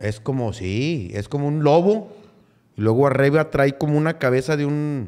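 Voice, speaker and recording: A man's fairly high voice, an ordinary speaking voice with lively intonation, a moderate pace and a quiet background. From Monterrey, Nuevo León, Mexico. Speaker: comedian; podcast guest. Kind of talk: casual chat. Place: studio. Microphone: studio mic.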